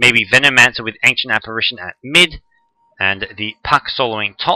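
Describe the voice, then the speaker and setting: Sounding dry and close with no echo, a man with an Australian accent has a bright, sharp tone, ordinary pitch variation and big swings in loudness. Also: medium pitch for a man. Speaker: esports commentator. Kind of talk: live commentary. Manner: fast.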